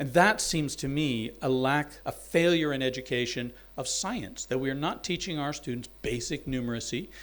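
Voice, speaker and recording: An ordinary speaking voice from a man with an American accent, at a moderate pace with ordinary pitch variation. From US South, Alabama. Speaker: university dean and anthropologist. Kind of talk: symposium talk.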